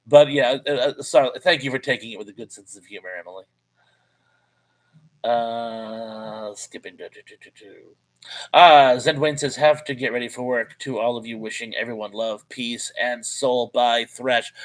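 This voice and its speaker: With an unremarkable speaking voice, a man talks at a medium pitch and moderate pace, showing ordinary pitch variation and big swings in loudness. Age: 50s. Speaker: live streamer. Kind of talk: casual live stream chat reading viewer comments. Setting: live stream.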